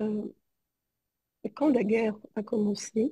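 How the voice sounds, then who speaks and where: A woman speaks at a very slow pace, her pitch fairly high. Her tone is dark and mellow and somewhat breathy. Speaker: psychologist. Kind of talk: testimony. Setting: video call. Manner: halting.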